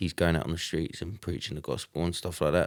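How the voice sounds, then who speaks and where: In an English accent, a man speaks at a very deep, low pitch with fairly even intonation, with a dry, close sound with no echo on a very clean recording with a silent background. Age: 20s. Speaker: church member, kickboxer and construction worker. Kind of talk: casual chat.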